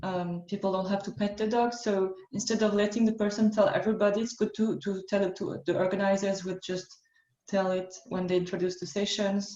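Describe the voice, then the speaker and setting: A woman with a French accent, fairly quick and flat in a monotone delivery. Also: medium pitch for a woman. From France. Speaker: workshop facilitator. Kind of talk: online workshop.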